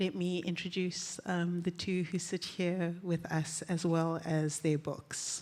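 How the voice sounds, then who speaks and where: A woman talks at a very slow pace, her voice shaky. Her pitch sits in the medium range. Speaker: panel moderator. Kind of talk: panel discussion introduction. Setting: live festival stage with audience. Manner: shaky voice; hesitant, many fillers.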